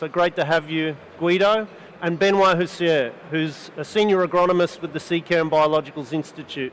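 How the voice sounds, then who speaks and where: A man's high-pitched voice with an Australian accent, fairly even intonation and a fairly quick pace over noticeable background noise. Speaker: panel moderator, seed company institute lead. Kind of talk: panel discussion. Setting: studio with live audience.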